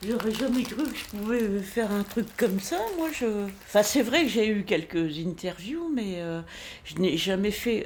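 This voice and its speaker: Speaking in a northern French accent, the voice has lively intonation. The pace is fairly slow. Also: woman. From northern France. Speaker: singer-songwriter. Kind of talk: casual interview. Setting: at home.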